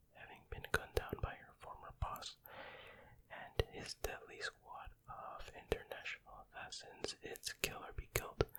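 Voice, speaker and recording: A man whispers at a fairly slow pace. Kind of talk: reading DVD cover text. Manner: whispered, soft-spoken.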